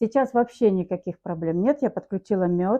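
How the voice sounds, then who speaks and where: A woman is talking. Her pitch varies in an ordinary way. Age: 60s. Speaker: customer giving a product testimonial. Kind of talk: testimony.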